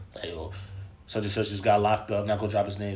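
Somewhat breathy and fairly low, this man's voice comes through. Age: 20s. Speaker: podcast guest. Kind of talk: casual chat.

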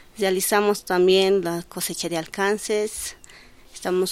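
A woman speaks at a medium pitch and a fairly slow pace in an ordinary speaking voice, keeping her intonation fairly even. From Bolivia, El Alto. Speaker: social worker with children. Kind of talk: interview.

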